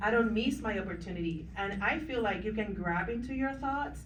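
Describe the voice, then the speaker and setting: A woman with a non-native accent speaks at a moderate pace and medium pitch, with ordinary pitch variation. Noticeable background noise and audible room echo surround her voice. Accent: foreign. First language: not English. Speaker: business owner, panelist. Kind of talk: panel discussion.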